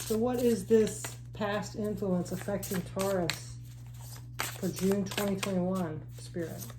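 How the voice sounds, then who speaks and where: Fairly slow female speech amid audible room echo and noticeable background noise. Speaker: tarot reader. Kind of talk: tarot reading. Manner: halting, self-correcting.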